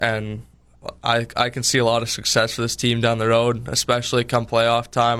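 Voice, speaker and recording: Monotone and flat in intonation, a man talks at a medium pitch and a moderate pace. He has a Canadian Prairie accent. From Winkler, Manitoba, Canada. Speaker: junior hockey goalie. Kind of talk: radio interview.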